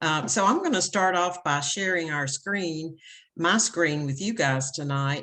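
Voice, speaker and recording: A woman speaks at a fairly slow pace in a fairly low pitch, with a Tennessee accent. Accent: Southern US (Tennessee). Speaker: education consultant. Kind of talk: presentation to parents.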